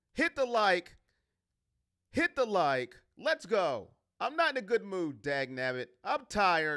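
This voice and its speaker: The speech moves at a fairly slow pace with long, frequent pauses, in a very clean recording with a silent background. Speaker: sports YouTuber. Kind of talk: live stream chat. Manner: loud.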